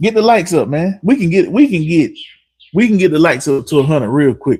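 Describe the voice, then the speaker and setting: In a very clean recording with a silent background, a speaker with a strong North Carolina accent talks at a moderate pace in an animated tone with lively intonation. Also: man. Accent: heavy North Carolina. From North Carolina, Harnett County (Dunn). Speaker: car mechanic and livestreamer. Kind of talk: live stream chat.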